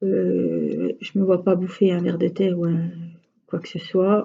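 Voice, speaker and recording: A woman with a Franche-Comté accent has a dark, mellow, somewhat breathy tone. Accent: regional Franche-Comté accent, drawls letters. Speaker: crafts vlogger. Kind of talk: casual chat. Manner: hesitant, many fillers.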